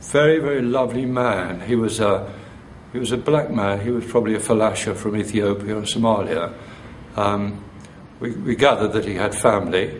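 The speaker has a Derbyshire accent and talks at a fairly quick pace with ordinary pitch variation. Noticeable background noise runs underneath. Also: man, fairly low pitch for a man. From Chesterfield, England. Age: 60s. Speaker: retired teacher, activist. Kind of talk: interview answer.

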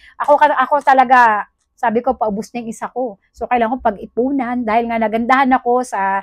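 Against a quiet background, a woman with a high pitch talks at a fairly quick pace in a dry sound with no echo. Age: 40s. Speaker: product review vlogger. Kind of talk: product review vlog. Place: home room. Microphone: phone near.

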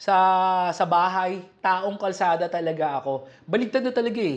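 A man's voice over a quiet background. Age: 40s. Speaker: gym business owner and vlogger. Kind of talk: casual vlog talk. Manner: halting, many fillers.

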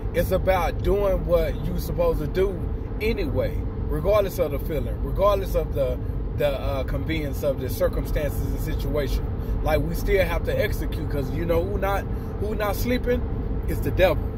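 Loud background noise runs under a man speaking at a moderate pace. The sound is dry, with no echo. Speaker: motivational vlogger. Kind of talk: casual vlog chat, encouraging talk. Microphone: phone near.

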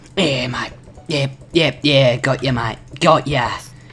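Over clear background noise, a raspy put-on character voice speaks at a very slow pace and a low-to-middle pitch. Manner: silly, put-on, jokey.

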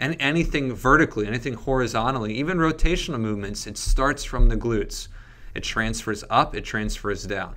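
A man's voice has a bright, sharp tone and ordinary pitch variation. He speaks at a fairly quick pace with big swings in loudness. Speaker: fitness coach. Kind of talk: casual chat. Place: studio. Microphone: studio mic.

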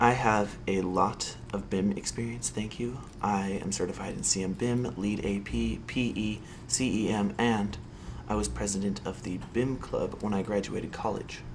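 Lively intonation from a man with a fairly low pitch, a moderate pace and noticeable background noise. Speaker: candidate. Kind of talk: scripted phone conversation. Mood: confident, eager. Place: office.

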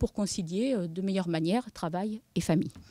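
A woman speaks with a dark, mellow tone. The sound is dry with no echo, and the background is quiet. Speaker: demographic researcher. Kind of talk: conference presentation. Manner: hesitant, many fillers. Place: meeting room. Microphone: podium.

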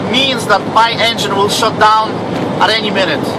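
Loud background noise competes with a man talking at a moderate pace. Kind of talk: casual vlog chat. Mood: frustrated and annoyed. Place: car. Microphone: phone near.

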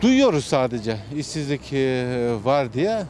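Lively intonation from a man, in a dry sound with no echo and light background noise. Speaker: passerby interviewee. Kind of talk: street interview answer. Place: street.

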